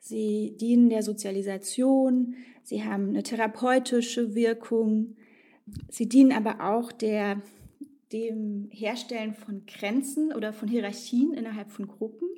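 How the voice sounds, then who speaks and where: A woman's fairly high voice with a dark, mellow tone, fairly even intonation and a fairly slow pace. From eastern Germany. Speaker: sociologist. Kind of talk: interview.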